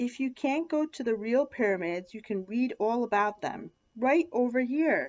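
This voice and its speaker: A woman in a put-on character voice, high-pitched and squeaky, at a moderate pace. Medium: read story. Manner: hesitant, careful.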